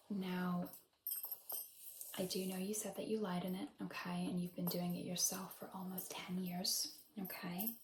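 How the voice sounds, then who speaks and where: Soft-spoken and gentle in tone, a woman talks at a moderate pace and medium pitch with fairly even intonation. Long, frequent pauses break it up, with music in the background. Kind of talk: ASMR role-play hair consultation. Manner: soft-spoken, gentle.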